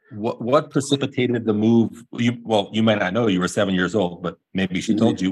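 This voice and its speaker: A man with an ordinary speaking voice talks at a medium pitch and fairly quick pace, with ordinary pitch variation and hardly any pauses. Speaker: podcast host, doctor. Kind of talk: casual interview.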